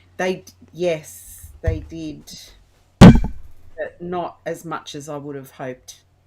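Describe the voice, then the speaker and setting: In a strong Australian accent, a woman speaks at a very slow pace. Her loudness swings widely, and music plays in the background. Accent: broad Australian. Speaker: interview guest. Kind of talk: casual chat.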